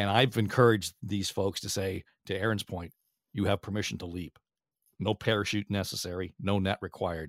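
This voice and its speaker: An unremarkable speaking voice moves at a fairly quick pace with fairly even intonation. The recording is very clean with a silent background and a dry, close sound with no echo. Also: man, fairly low pitch for a man. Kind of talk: interview.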